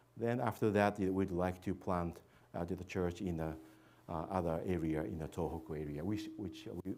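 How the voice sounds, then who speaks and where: Audible room echo surrounds a man's very deep, low voice, dark and mellow in tone, delivered at a moderate pace with ordinary pitch variation. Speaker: missionary. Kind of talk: church presentation. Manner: halting, many fillers.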